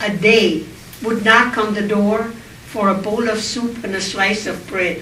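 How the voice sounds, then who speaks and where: A woman at a very slow pace and fairly high pitch, amid noticeable background noise and audible room echo. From Austria. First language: German. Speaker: Holocaust survivor speaker. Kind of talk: public speech.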